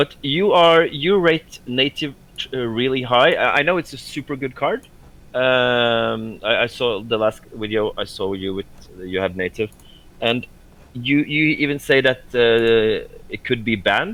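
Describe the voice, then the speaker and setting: A man speaks at a fairly slow pace with a non-native accent, his medium-pitched voice carrying lively intonation. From Norway. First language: not English. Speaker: board game player. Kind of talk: casual chat. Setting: voice chat. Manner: halting.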